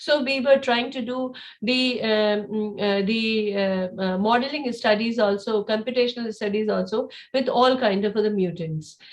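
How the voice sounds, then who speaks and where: A woman with a fairly high pitch and ordinary pitch variation speaks amid audible room echo. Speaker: cancer researcher presenting lab work. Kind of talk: conference presentation. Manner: fast; halting, many fillers.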